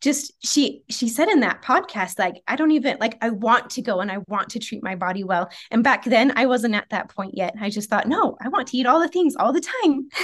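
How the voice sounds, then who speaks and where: A woman with a normal speaking voice talks at a fairly quick pace and a fairly high pitch, with lively intonation and hardly any pauses. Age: 30s. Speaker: nutrition coaching client and certified health coach. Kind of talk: casual interview.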